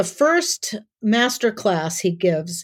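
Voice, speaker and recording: A woman's unremarkable speaking voice with an American accent, medium in pitch and lively in intonation, on a very clean recording with a silent background. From US Midwest, South Dakota. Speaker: author and self-defense teacher. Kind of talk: interview conversation.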